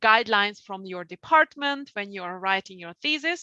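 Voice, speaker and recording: With a Hungarian accent, a woman talks in a bright, sharp tone, her dry, close sound free of echo against a quiet background. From Hungary. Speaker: publishing outreach staff, presenter. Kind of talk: webinar presentation. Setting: online webinar.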